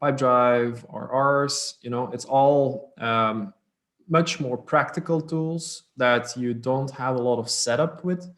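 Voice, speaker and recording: A man speaks with a Dutch accent. His pitch sits in the medium range with ordinary variation. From Belgium (Dutch-speaking north). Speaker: startup co-founder. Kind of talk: interview. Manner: fluent conversational with fillers.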